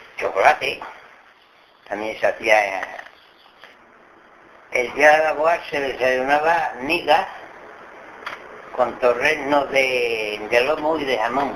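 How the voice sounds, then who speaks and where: Very slow speech from a man at a fairly high pitch, with ordinary pitch variation, long, frequent pauses, and noticeable background noise. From Extremadura, Cáceres (Guijo de Santa Bárbara). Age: 80s+. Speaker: farm worker, dialect survey informant. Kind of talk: interview about local customs. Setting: at home. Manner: halting.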